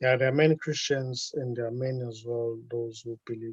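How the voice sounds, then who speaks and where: A man with a slight South African accent speaks at a medium pitch and a moderate pace. His somewhat breathy voice has a dry, close sound with no echo. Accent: South African, light. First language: Zulu. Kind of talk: casual chat. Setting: video call. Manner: halting.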